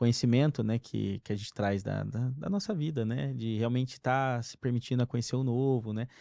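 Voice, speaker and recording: A man speaks at a medium pitch with a slight mineiro accent. His tone is dark and mellow, with ordinary pitch variation. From Brazil, interior of Minas Gerais. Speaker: company executive. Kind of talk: casual chat.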